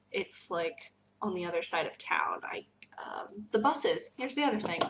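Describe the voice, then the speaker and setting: A woman with an American accent at a moderate pace, over noticeable background noise. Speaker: teacher. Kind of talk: casual vlog talk.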